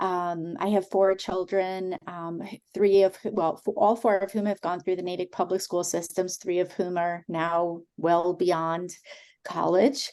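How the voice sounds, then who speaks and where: A woman speaks at a medium pitch and a fairly slow pace. Her tone is dark and mellow, with fairly even intonation. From Brooklyn, New York. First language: not English (English learned as second language). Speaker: immigration advocate. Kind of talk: community meeting talk.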